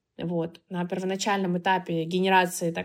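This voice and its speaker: A woman in a normal speaking voice at a medium pitch and moderate pace, in a very clean recording with a silent background. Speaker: marketing agency founder. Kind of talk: interview.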